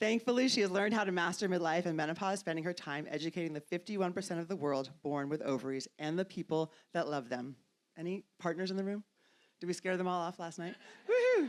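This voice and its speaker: On a very clean recording with a silent background, a woman with an American accent speaks at a very fast pace and a fairly low pitch. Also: ordinary pitch variation. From New York. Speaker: panel moderator. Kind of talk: panel introduction, reading bios.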